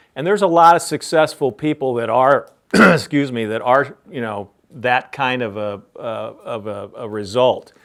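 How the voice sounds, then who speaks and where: A man with an American accent and an ordinary speaking voice, medium pitch, lively intonation, big swings in loudness and a moderate pace. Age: 60s. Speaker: business founder and CEO. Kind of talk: interview Q&A for a class.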